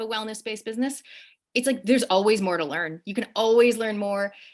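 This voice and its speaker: A woman speaks with a strong Canadian accent on a very clean recording with a silent background. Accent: Canadian accent, still strong. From Canada. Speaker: show host and wellness business owner. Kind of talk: interview conversation. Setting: Instagram live video.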